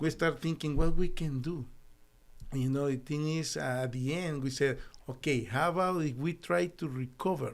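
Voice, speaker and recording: A man with a Spanish accent speaks at a moderate pace and a fairly high pitch, with ordinary pitch variation. The recording is very clean, with a silent background. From El Salvador. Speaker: doctor and company founder. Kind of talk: interview.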